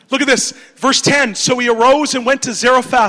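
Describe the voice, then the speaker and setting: A man speaks with an extremely high pitch and an animated, energetic tone, at a moderate pace with ordinary pitch variation over noticeable background noise. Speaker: preacher. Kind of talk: sermon delivered in English with audience call-and-response, pausing for the interpreter. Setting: church or conference hall with audience. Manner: animated, energetic, exhortative.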